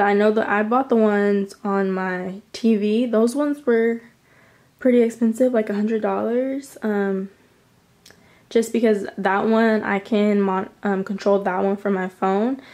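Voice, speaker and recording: A woman speaks at a fairly slow pace in a fairly high voice, her intonation staying fairly even. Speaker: lifestyle vlogger. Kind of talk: casual room tour vlog. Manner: filler-heavy, chatty. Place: home room. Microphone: phone near.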